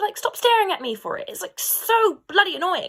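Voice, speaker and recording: In a very clean recording with a silent background, a woman speaks at a moderate pace with an English accent. Her pitch swings very widely. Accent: posh, well-spoken English. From London, England. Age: 20s. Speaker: vlogger. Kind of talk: personal vlog monologue. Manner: animated.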